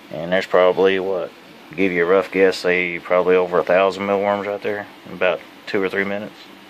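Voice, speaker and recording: Very fast, monotone and flat speech from a man with a very deep, low pitch, noticeable background noise behind him. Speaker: hobbyist mealworm breeder. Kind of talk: tutorial. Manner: casual, rambling with restarts.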